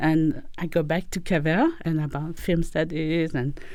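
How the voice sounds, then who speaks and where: In a French accent, a woman speaks at a fairly slow pace with a dark, mellow tone, a fairly low pitch and fairly even intonation. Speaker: philosophy professor and author. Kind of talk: interview. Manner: hesitant, many fillers.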